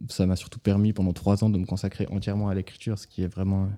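Fairly low male voice, dark and mellow, monotone and flat, on a very clean recording with a silent background. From Vaud, Switzerland. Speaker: novelist. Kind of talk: author interview. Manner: hesitant, many fillers.

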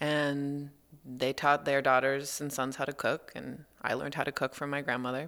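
A woman with an American accent and a very deep, low voice, at a fairly slow pace, in a very clean recording with a silent background. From US West Coast, Los Angeles. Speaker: environmental nonprofit content manager. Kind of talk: radio interview. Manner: halting, many fillers.

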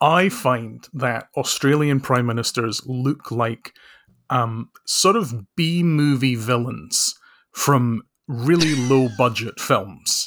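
With a Scottish accent, a medium-pitched man speaks at a very slow pace with ordinary pitch variation. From Scotland. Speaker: author and social researcher. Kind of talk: casual chat.

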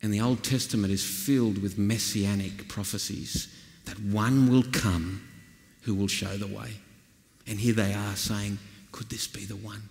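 In a rural Australian accent, a man talks at a fairly slow pace with monotone, flat intonation and big swings in loudness. Audible room echo surrounds his voice. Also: fairly low pitch for a man. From Australia, northwestern New South Wales. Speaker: pastor. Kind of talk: sermon.

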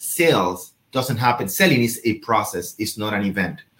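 Pitch swings very widely as this man talks at a moderate pace in a somewhat breathy voice. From Venezuela. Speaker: real estate show host and trainer. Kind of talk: interview with coaching asides.

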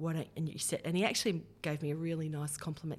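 A woman's very deep, low, somewhat breathy voice at a fairly quick pace, in a very clean recording with a silent background. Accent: Australian. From Australia, Hunter region (Kurri Kurri, NSW). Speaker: federal politician, former radio presenter. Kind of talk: interview.

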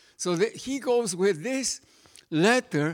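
Male speaker with a Spanish accent. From Mexico. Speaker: pastor. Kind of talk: sermon.

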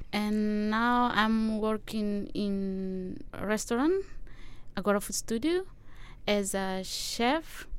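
Audible room echo surrounds speech at a very slow pace with ordinary pitch variation. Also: woman, fairly high pitch for a woman. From East Timor. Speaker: chef. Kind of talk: interview. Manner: halting.

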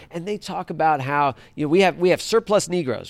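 Lively intonation and a very fast pace mark this speech in an American accent. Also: man. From Washington, D.C. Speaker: historian and author. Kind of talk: live talk with audience.

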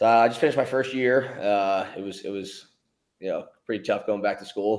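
A man with an American accent has a normal speaking voice. He talks at a fairly quick pace with fairly even intonation. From Philadelphia. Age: 20s. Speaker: pro lacrosse player. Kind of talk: interview.

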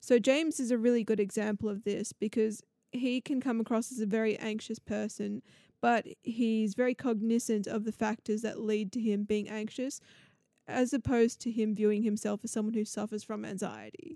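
With an Australian accent, this dark, mellow voice speaks at a moderate pace with fairly even intonation. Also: woman, fairly high pitch for a woman, dry, close sound with no echo. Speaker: podcast host. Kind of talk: solo podcast intro; casual interview chat.

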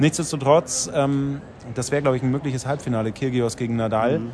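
With music in the background, a man speaks at a fairly quick pace, medium pitch and fairly even intonation. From Bavaria. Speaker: sports TV reporter. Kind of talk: casual chat. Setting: on site at a tennis tournament.

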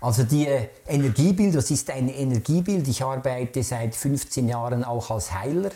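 The man's voice has a dark, mellow tone and is somewhat breathy. His pitch varies in an ordinary way. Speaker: artist. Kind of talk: interview. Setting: artist's studio.

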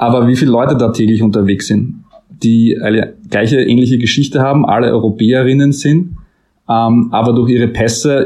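A man's normal speaking voice, medium in pitch, fairly quick, with ordinary pitch variation. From Austria, Styria. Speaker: author. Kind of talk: interview.

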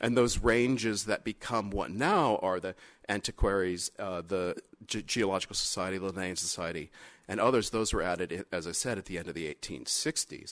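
A man talks at a fairly quick pace with a fairly low pitch and ordinary pitch variation. The recording is very clean with a silent background and a dry, close sound with no echo. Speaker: lecturer in history and philosophy of biology. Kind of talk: lecture. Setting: stage with audience. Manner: lively.

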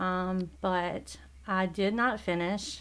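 A woman speaks with a Southern US accent. Her pitch is medium and her intonation fairly even. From South Carolina, US South. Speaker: church member. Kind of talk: testimony.

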